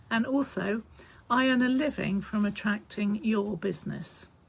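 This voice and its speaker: A woman's somewhat breathy voice has a medium pitch and ordinary pitch variation. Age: 60s. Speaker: heating business co-owner. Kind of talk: informal advice talk to camera. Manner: casual, chatty.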